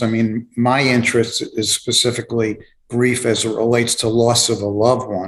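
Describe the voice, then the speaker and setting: A man speaks with a New York accent at a medium pitch. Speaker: author and grief specialist. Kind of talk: interview. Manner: halting, many fillers.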